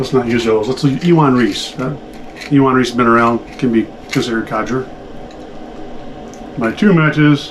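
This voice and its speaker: A man's speech with long, frequent pauses over noticeable background noise. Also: medium pitch for a man, ordinary pitch variation. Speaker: pipe smoking video creator. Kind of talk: casual video vlog. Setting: at home desk, recording video. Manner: hurried.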